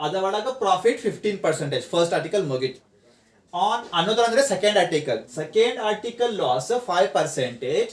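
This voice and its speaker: The man's voice has a high pitch. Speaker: commerce tutor. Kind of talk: online tutorial class.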